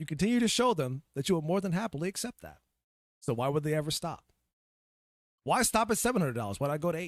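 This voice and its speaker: A man talks at a very fast pace in an animated tone, his fairly high pitch making very wide swings, with long, frequent pauses. The recording is very clean with a silent background, and the sound is dry and close with no echo. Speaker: gaming podcast host. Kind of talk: casual livestream podcast rant. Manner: animated, ranting; halting, repeats words.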